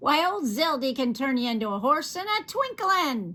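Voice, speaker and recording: At a moderate pace, a shrill, put-on character voice delivers the lines. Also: woman, high pitch for a woman. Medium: read story. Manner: quick, gleeful.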